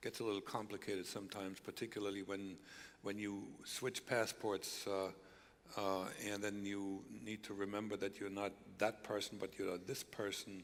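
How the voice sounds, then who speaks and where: With a German accent, a man speaks at a moderate pace in a fairly low pitch, his intonation monotone and flat. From East Germany. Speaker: former spy, speaker. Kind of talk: stage interview. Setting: church stage with audience.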